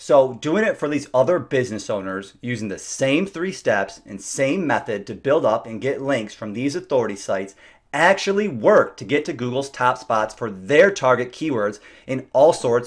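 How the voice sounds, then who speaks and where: A man talks at a medium pitch with lively intonation and big swings in loudness. The recording is very clean with a silent background. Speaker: SEO business owner. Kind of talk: sales pitch. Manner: fast.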